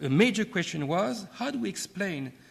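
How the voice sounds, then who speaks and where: The speaker uses lively intonation. The pace is moderate. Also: man. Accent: French. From France. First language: French. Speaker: keynote speaker, academic and former diplomat. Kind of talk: keynote lecture. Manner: formal, with hesitations and repetitions.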